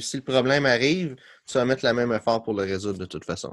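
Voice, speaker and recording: A man's medium-pitched voice with ordinary pitch variation at a fairly quick pace, on a very clean recording with a silent background. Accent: Quebec. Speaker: podcast host, business coach. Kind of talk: casual interview chat.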